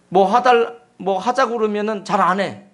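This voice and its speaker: The man speaks with an extremely high pitch. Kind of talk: preacher speaking informally to a congregation.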